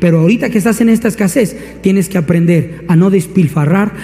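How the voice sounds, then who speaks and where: With noticeable background noise, a man talks at a fairly quick pace in an animated tone, with a high pitch and ordinary pitch variation. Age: 30s. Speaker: pastor. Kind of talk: sermon.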